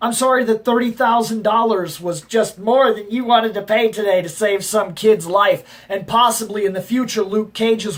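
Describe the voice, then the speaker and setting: This man has a high-pitched voice. He talks at a moderate pace. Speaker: comic book reviewer. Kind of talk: casual review talk to camera.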